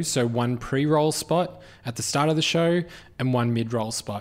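Recorded very cleanly against a silent background, a man talks at a moderate pace with a medium pitch and ordinary pitch variation. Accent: Australian. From Australia. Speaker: podcast producer and host. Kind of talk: live keynote Q&A. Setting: stage with audience.

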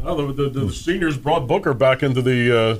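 This is a man with a normal speaking voice. His pitch is fairly high and varies in an ordinary way. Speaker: sports reporter co-host. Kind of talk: casual chat.

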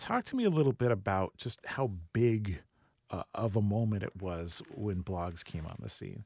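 An ordinary speaking voice at a moderate pace, with ordinary pitch variation and a dry, close sound with no echo. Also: man, fairly low pitch for a man. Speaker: radio host. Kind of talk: radio talk show. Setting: studio. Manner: warm, upbeat.

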